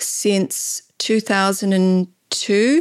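In a dry, close recording with no echo and a silent background, very clean throughout, a woman speaks at a medium pitch with an Australian accent. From Laos, raised in Australia. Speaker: natural dye artist and weaver. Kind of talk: casual interview. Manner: halting, frequent repetitions.

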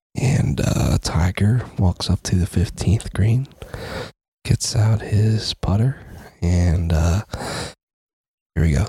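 A put-on character voice whispers, quiet and raspy, at a very slow pace. Long pauses come often. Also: man. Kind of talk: sports announcer. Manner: hushed, whispering.

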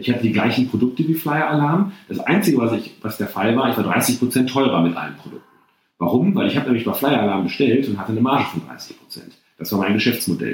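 The loudness swings widely and the intonation is lively. Delivery comes at a very fast pace. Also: man, medium pitch for a man. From Germany, Bocholt area (Münsterland). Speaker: entrepreneur and CEO. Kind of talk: interview conversation.

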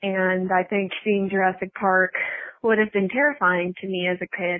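A woman with an ordinary speaking voice talks at a fairly slow pace, her medium pitch showing ordinary variation. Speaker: listener calling in. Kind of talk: voice message story.

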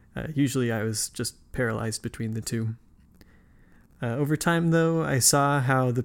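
A man with an American accent and a plain, everyday voice, medium in pitch with ordinary variation, at a moderate pace in a very clean recording with a silent background. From US West (Nevada, then California). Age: 20s. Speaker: podcast host. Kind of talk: scripted narration; casual interview conversation.

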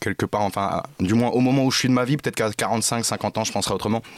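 A man speaks in a dry, close recording with no echo, very clean and set against a silent background. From Paris suburbs, France. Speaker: comedian. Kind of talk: casual chat. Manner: halting.

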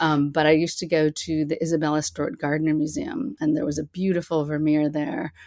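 Talking fairly quickly with hardly any pauses, a woman with an American accent uses a very deep, low pitch and fairly even intonation. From US Northeast (Boston). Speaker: artist. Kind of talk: interview.

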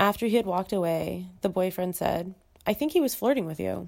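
Speech moves at a moderate pace here. It is an unremarkable speaking voice, and the pitch varies in an ordinary way. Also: woman. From US Midwest. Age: 20s. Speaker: guest sharing dating experiences. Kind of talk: recorded voice memo, read essay. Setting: voice memo recording.

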